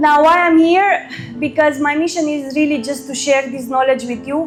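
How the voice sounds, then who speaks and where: A woman speaks in a Romanian accent with fairly even intonation. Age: 30s. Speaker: credit risk consultant. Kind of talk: workshop talk.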